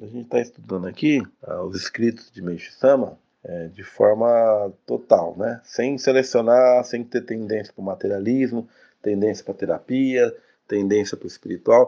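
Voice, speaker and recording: Against a quiet background, a man with a dark, mellow tone talks at a moderate pace and medium pitch, his loudness swinging widely while his pitch varies in an ordinary way. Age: 40s. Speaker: religious study teacher. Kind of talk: lecture. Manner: casual, frequent filler tags.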